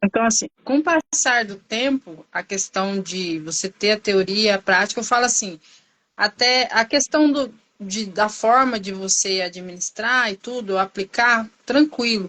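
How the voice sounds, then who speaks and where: A woman with an ordinary speaking voice talks at a fairly slow pace and a fairly high pitch, with ordinary pitch variation. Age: 40s. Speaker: nursing technician and vaccinator. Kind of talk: interview testimony.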